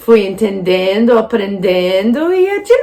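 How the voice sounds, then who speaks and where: Speaking very slowly with an American accent, a woman uses lively intonation at a fairly high pitch. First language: English (speaking Portuguese). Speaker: English teacher. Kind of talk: casual vlog talk.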